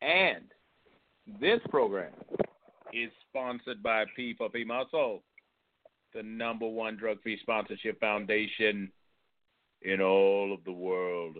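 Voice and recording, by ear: A man with a fairly low pitch speaks in a theatrical tone at a slow pace. He leaves long, frequent pauses, and his pitch varies in an ordinary way.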